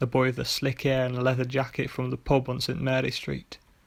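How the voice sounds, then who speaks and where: Quietly and very fast, a man talks at medium pitch in a monotone, flat intonation. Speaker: author and narrator. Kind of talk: short story reading. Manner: quiet, monotonous; fast in parts.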